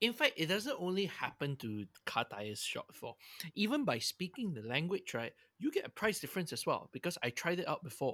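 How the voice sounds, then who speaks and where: With a Singaporean accent, a man talks at a fairly quick pace and high pitch with very wide pitch swings, over a silent background in a very clean recording. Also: dry, close sound with no echo. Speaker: podcast co-host. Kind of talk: casual chat.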